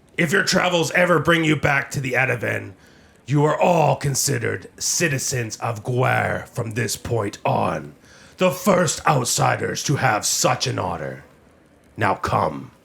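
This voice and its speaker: A man uses a put-on character voice. His pitch is medium. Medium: actual play. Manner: formal, stern.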